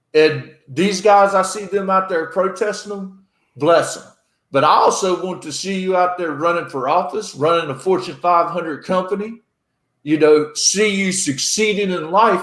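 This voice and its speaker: A man's high-pitched voice at a moderate pace. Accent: North Carolina. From North Carolina. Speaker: podcast host, military veteran. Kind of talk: casual chat. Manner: animated.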